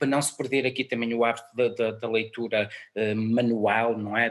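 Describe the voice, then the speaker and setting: A man talks at medium pitch and a moderate pace. His intonation is monotone and flat. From northern Portugal, Guimarães area. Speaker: music programmer and musician. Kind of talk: interview.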